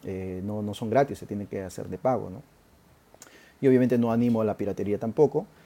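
With a dark, mellow tone, a man speaks at a fairly quick pace using fairly even intonation. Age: 40s. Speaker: marketing podcast host and consultant. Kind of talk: solo educational talk. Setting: live stream on social media.

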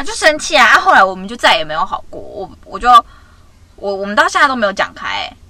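Over noticeable background noise, a woman talks very fast at a fairly high pitch, with very wide pitch swings and big swings in loudness. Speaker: podcast co-host. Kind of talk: casual chat. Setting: in a car.

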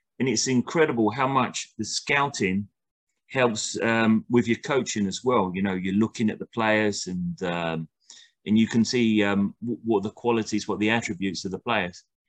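This man has a southern English accent and a fairly low pitch with ordinary pitch variation. The sound is dry and close with no echo, against a quiet background. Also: moderate pace. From southern England, near Brighton. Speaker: football coach. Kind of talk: interview. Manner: halting.

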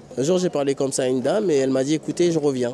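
The speech comes at a very fast pace with ordinary pitch variation. Noticeable background noise can be heard. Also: man. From French Guiana, of Surinamese descent. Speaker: homeless man, former care worker. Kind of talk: interview. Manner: hesitant, with many fillers.

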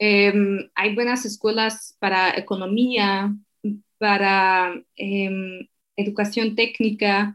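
A woman speaks in a Slovak accent at a very slow pace. Her medium-pitched voice is monotone and flat. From eastern Slovakia. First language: Slovak (speaking Spanish). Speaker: translator and digital marketer. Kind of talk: interview.

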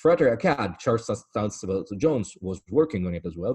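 A man with an Italian accent, a fairly low pitch and a dark, mellow tone talks at a fairly quick pace with ordinary pitch variation, in a dry, close sound with no echo against a quiet background. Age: 40s. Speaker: antiques dealer and esoteric lecturer. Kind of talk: interview conversation.

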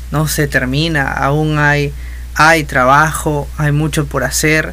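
Someone with a Peruvian accent speaks at a fairly slow pace, with audible room echo and noticeable background noise. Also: man. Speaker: musician and music teacher. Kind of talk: casual interview. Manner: halting.

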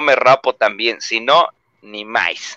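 Speaking at a very slow pace in a Mexican accent, a man has a bright, sharp tone in a dry, close sound with no echo. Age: 20s. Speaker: booktuber. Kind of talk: casual chat. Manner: animated.

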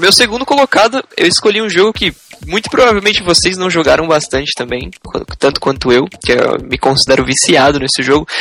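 Very wide pitch swings in a high male voice, against noticeable background noise. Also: fairly quick pace. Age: 20s. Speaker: gaming podcast co-host. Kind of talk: casual chat.

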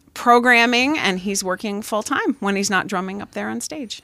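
With a Pennsylvania accent, a woman speaks at a medium pitch in a bright, sharp tone with ordinary pitch variation. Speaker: high school math teacher. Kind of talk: casual chat. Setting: home studio.

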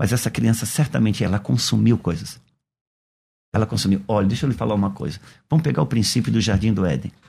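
With vocal fry and a dark, mellow tone, a man with a fairly low pitch uses lively intonation at a very fast pace, broken by long, frequent pauses. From Brazil, Santa Catarina (Itajaí). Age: 50s. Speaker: pastor. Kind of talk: radio interview. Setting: radio studio.

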